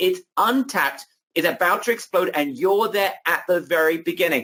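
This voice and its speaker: A man projects a raised, animated voice with a high pitch and a bright, sharp tone. His loudness is very even, his pace moderate and his pitch variation ordinary. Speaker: online marketing webinar host. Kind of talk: sales pitch. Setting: live webinar.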